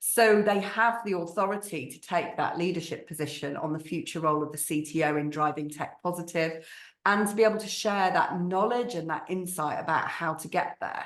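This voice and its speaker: Talking at a fairly quick pace in a northern English accent, a woman with a fairly low pitch and ordinary pitch variation shows big swings in loudness amid audible room echo. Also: hardly any pauses. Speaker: marketing agency strategist. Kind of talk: webinar panel discussion.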